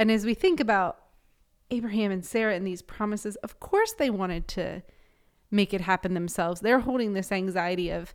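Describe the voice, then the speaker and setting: On a very clean recording with a silent background, a woman with an ordinary speaking voice talks fairly quickly at a medium pitch, with ordinary pitch variation. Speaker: pastor. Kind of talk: casual chat.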